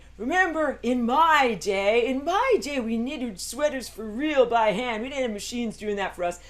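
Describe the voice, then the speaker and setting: In a put-on character voice that is raised, projected and fairly high, the speaker keeps a moderate pace with hardly any pauses over light background noise. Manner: grumpy, complaining.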